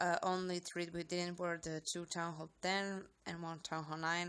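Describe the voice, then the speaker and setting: A woman with a non-native accent speaks at a moderate pace in a fairly low, monotone, flat voice. The recording is very clean, with a silent background. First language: not English. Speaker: gaming YouTuber. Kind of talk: game commentary.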